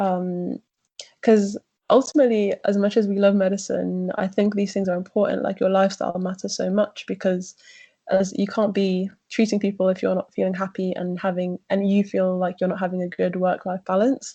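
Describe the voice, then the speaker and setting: Speaking fairly quickly in a British accent, a woman uses monotone, flat intonation at a medium pitch in a somewhat breathy voice. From UK. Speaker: junior doctor. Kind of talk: interview.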